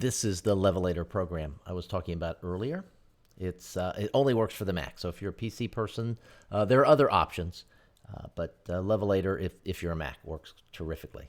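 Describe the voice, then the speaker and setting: A man with a very deep, low voice talks at a fairly quick pace with ordinary pitch variation, recorded very cleanly against a silent background. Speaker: podcast host. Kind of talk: tutorial. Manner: casual, with frequent fillers.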